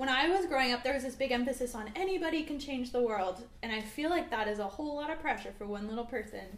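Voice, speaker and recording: Very fast and with hardly any pauses, a woman talks in a high pitch with lively intonation. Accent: Canadian. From small town British Columbia, Canada. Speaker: singer-songwriter. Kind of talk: casual interview. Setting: studio, livestream.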